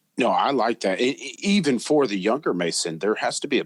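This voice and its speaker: The recording is dry and close, with no echo. A man talks through it at a moderate pace. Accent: American. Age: young. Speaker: podcast co-host, Freemason. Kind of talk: casual chat.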